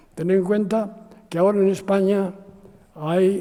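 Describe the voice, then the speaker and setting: Background noise is noticeable. Over it, a man speaks at a very slow pace. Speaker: architect. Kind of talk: interview. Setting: university talk with audience. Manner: halting.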